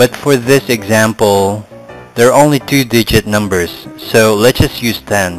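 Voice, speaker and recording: With music playing behind him, a man speaks at a very slow pace and varies his pitch in an ordinary way. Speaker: math tutor. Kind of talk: tutorial.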